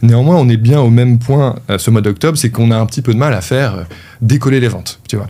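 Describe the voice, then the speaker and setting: The speaker is a man with a medium pitch. He talks very fast, with ordinary pitch variation. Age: 30s. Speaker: e-commerce entrepreneur. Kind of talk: interview. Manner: casual, hesitant with many fillers.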